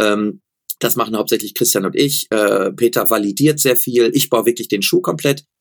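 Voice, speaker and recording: In a normal speaking voice, a man talks at medium pitch and a moderate pace with lively intonation, the sound dry and close with no echo. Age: 40s. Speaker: running shoe expert and company founder. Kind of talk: interview.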